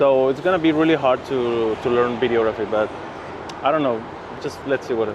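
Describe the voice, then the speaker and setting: A man speaks in a Mexican accent at medium pitch with fairly even intonation. Noticeable background noise is present. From Mexico City. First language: Spanish. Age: 30s. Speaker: photographer. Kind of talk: interview. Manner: halting, many fillers.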